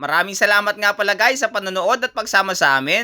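A man speaks in a raised, projected voice with a bright, sharp tone. The very clean recording has a silent background and a dry, close sound with no echo. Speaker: vlogger. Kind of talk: travel vlog narration.

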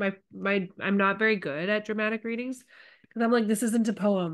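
Plain reading aloud is delivered with fairly even intonation.

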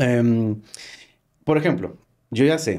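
A dark, mellow tone from a man, captured on a very clean recording with a silent background. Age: 40s. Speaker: cybersecurity expert, ex-hacker. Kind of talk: interview.

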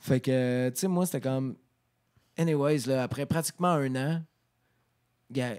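A man speaks at a fairly high pitch with a moderate pace. His intonation stays fairly even against a quiet background. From Quebec. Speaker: rock singer; podcast guest. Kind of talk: casual chat. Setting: studio. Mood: relaxed, reflective. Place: studio. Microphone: handheld.

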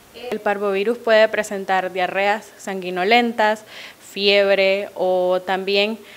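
A woman talks very slowly in a monotone, flat intonation. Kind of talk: interview answer. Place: office. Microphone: handheld.

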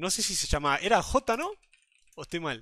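A raised, projected voice at a moderate pace, bright and sharp in tone, with a dry sound and no echo. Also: man. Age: 20s. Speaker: streamer. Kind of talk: casual live stream chat. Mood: amused, laughing. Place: home room.

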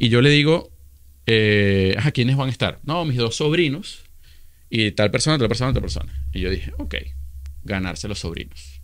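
Pausing long and often, a man speaks at a moderate pace and medium pitch with very wide pitch swings. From Venezuela (Caracas). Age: 30s. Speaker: social media influencer. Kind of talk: casual interview. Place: studio. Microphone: studio mic.

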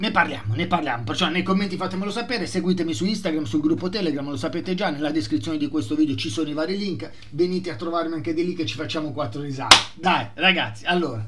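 Loud background noise fills the recording. Over it, a man speaks at a very fast pace. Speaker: football channel host. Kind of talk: casual vlog commentary. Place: home room.

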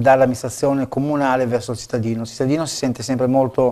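A man's fairly even intonation over a quiet background. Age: 50s. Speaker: local election candidate; election candidate. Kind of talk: TV interview. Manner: halting, many fillers and repetitions. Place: studio. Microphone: lapel.

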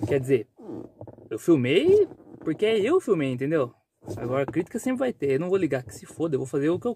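A fairly high-pitched male voice at a fairly quick clip, broken by long, frequent pauses, dry with no echo over light background noise. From Brazil, rural countryside. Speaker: vlogger and truck driver; vlogger. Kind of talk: casual vlog talk to camera. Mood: defiant about criticism. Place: car. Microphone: phone near.

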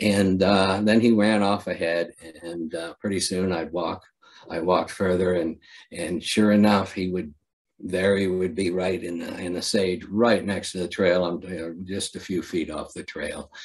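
Speaking with an American accent at a fairly slow pace, the voice stays flat and monotone over a quiet background. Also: man, very deep, low pitch for a man. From Ohio. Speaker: poet; poet at a festival reading. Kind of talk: poetry reading; poetry reading and anecdote. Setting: video call. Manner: halting. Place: home room. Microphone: webcam.

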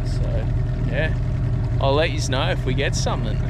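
A moderate pace over loud background noise, with a dry sound and no echo. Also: man. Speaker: angler vlogger. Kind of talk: casual vlog chat. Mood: relaxed, a bit disappointed. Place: boat. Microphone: phone near.

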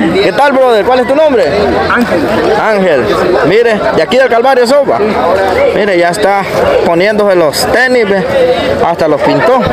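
The speech moves at a moderate pace, broken by long, frequent pauses. Loud noise fills the background. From El Salvador. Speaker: YouTube content creator. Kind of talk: vlog with on-the-street interviews. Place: street. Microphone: phone near.

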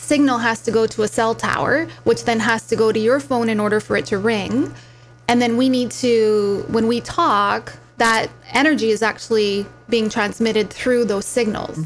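With faint music in the background, a woman talks at a moderate pace, her loudness very even and her pitch varying in an ordinary way. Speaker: talk show guest. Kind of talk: interview answer. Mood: warm, friendly. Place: studio. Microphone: studio mic.

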